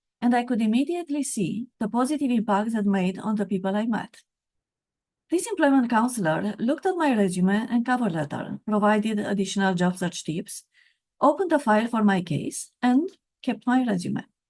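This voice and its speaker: Speaking at a fairly quick pace, a woman with a Romanian accent has a fairly high, somewhat breathy voice. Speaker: author and career coach. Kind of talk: reading aloud from own book.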